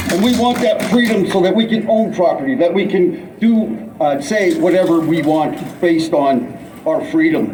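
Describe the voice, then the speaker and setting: Against noticeable background noise and audible room echo, a high-pitched man speaks at a moderate pace with very wide pitch swings. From Canada. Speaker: protest speaker. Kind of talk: rally speech. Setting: outdoor rally with crowd. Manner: halting.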